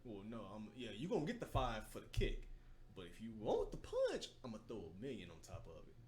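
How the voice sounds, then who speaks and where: A man speaks at a fairly quick pace with big swings in loudness and audible room echo. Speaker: podcast host. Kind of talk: casual chat. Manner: animated.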